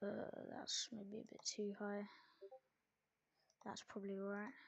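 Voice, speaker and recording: Soft-spoken and fairly slow, a woman talks at a medium pitch with monotone, flat intonation. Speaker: sim racing commentator. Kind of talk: live commentary.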